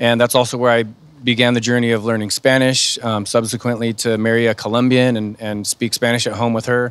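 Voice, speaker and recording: The man's medium-pitched voice stays monotone and flat while he moves along at a fairly quick pace. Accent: American. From California, Sacramento area. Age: 30s. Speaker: firefighter. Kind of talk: panel talk. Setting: virtual talk show.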